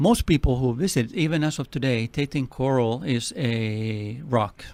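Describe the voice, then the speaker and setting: A man's medium-pitched voice in a strong Finnish accent with ordinary pitch variation. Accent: heavy Finnish. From Finland. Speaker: nonprofit president. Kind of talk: radio interview.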